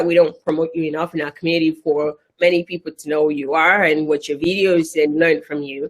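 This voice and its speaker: This is a woman speaking. She has a Nigerian accent. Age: 30s. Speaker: event facilitator. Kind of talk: live online event chat. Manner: animated.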